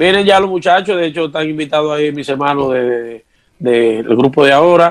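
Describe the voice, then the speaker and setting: A fairly quick pace with ordinary pitch variation. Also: man, fairly high pitch for a man. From Dominican Republic. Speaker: merengue típico musician. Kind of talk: interview.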